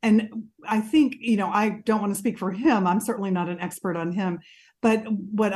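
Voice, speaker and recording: This woman talks at a moderate pace, her voice somewhat breathy. Her pitch varies in an ordinary way over a quiet background. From Mississippi. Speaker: mental health counselor. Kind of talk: interview.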